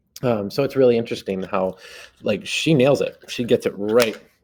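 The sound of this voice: This is an unforced reading voice. It reads in an unforced way.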